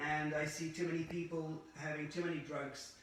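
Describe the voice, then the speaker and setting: Fairly high-pitched male voice amid noticeable background noise and audible room echo. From Scotland. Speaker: former pharmacist turned holistic practitioner. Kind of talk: interview. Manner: hesitant, with frequent uh fillers.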